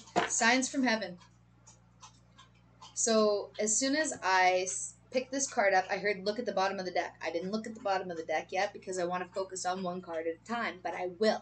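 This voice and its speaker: A woman at a fairly quick pace, ordinary pitch variation and big swings in loudness, over noticeable background noise. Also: medium pitch for a woman. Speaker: tarot reader. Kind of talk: collective tarot reading. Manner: fast; animated.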